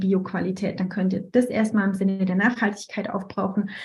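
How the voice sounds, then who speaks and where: A woman at a fairly quick pace, somewhat breathy, with a dark, mellow tone and a medium pitch. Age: 30s. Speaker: essential oils consultant and astrology student. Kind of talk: casual interview.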